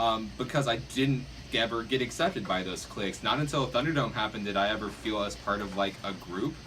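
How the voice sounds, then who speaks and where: A man talks at a fairly quick pace with lively intonation and a medium pitch. There is audible echo in the room. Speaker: Nerf club player. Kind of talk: casual group discussion. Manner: loud; halting.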